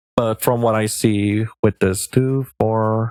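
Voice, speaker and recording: A man speaks very slowly with a non-native accent, his medium-pitched voice rising and falling in a lively way. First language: not English. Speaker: streamer, tarot reader. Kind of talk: live stream tarot reading. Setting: live stream. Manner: casual, thinking aloud.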